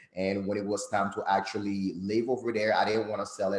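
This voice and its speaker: A man speaks very fast with a Haitian accent. His pitch is fairly low and his intonation monotone and flat. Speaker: credit consultant. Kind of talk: guest interview.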